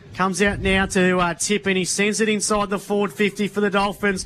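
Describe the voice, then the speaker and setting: The speech comes at a moderate pace with monotone, flat intonation and an Australian accent. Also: man. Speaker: football commentator. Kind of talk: live commentary.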